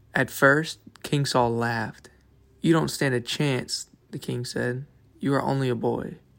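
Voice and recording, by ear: The text is read aloud in a natural voice. Its intonation is fairly even.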